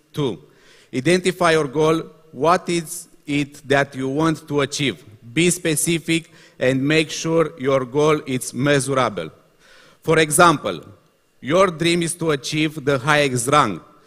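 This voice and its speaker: With a Romanian accent, a man speaks at a fairly slow pace and fairly high pitch, leaving long, frequent pauses. His intonation is fairly even. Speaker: motivational speaker. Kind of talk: reading aloud. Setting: stage with audience. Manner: halting.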